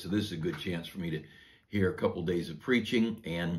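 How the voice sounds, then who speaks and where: Somewhat breathy and very deep, a man's low voice moves at a moderate pace. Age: 60s. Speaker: pastor. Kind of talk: devotional sermon. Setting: church office. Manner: conversational with frequent fillers.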